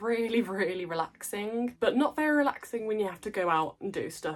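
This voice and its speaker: With an English accent, a woman talks at a moderate pace in a fairly high pitch, her voice making very wide pitch swings. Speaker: plant content creator. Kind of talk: casual vlog talk.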